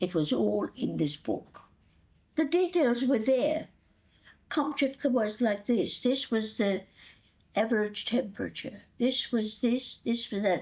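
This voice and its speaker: Speaking fairly slowly, a woman uses lively intonation and a fairly high pitch, with vocal fry and very even loudness. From Hungary, Budapest. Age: 80s+. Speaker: grandmother telling life story. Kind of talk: oral history interview.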